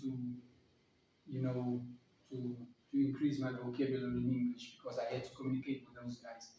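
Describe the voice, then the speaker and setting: A man with a medium pitch speaks in an Afrikaans South African accent, with big swings in loudness. Long, frequent pauses break up his speech over noticeable background noise. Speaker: vlogger. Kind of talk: casual talk to camera. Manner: halting, repeats words.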